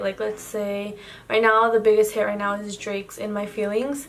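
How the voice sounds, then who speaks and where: Speaking in a Spanish accent at a moderate pace, a woman has a fairly high pitch. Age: 18. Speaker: YouTuber. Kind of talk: casual chat. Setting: home, night, yellow lamp. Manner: hesitant, filler-heavy.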